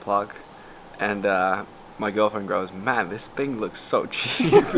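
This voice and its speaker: A man's fairly low voice at a very slow pace, with fairly even intonation over noticeable background noise. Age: 20s. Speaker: YouTuber and entrepreneur. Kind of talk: casual vlog chat. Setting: home after returning to Bali.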